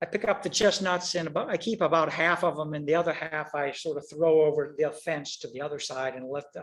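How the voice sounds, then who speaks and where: Hardly pausing, a man talks at a fairly quick pace with a fairly high pitch and fairly even intonation. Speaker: author and photographer giving a talk. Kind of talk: presentation with slides. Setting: video call. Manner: fast.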